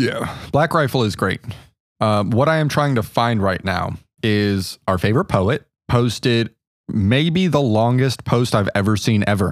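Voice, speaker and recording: On a very clean recording with a silent background, a man with an ordinary speaking voice talks at a medium pitch with lively intonation and very even loudness. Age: 20s. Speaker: podcast co-host. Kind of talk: casual chat.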